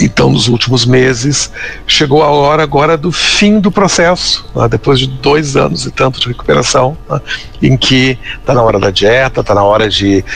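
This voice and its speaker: With music in the background, a man talks at a moderate pace and medium pitch. His pitch swings very widely while his loudness stays very even. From southern Brazil, Pelotas (Rio Grande do Sul). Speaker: literary consultant and businessman. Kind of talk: interview. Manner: halting, many fillers.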